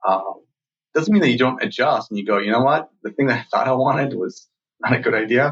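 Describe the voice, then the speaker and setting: Lively intonation marks a man's medium-pitched voice, moving at a fairly quick pace. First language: not English. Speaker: startup founder and CEO. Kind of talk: interview. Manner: halting, many fillers and repeats.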